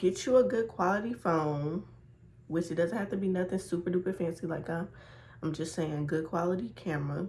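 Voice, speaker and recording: Somewhat breathy, a woman's voice sits fairly low in pitch with ordinary pitch variation. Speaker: beginner YouTuber giving advice. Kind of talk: casual vlog tutorial.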